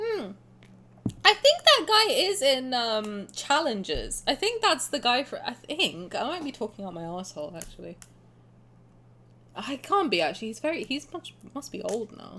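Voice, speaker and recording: A woman's raised, projected voice in an English accent, high in pitch with a bright, sharp tone, very wide pitch swings and a moderate pace. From England. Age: 20s. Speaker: game streamer. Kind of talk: live stream gameplay commentary. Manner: casual, rambling with fillers.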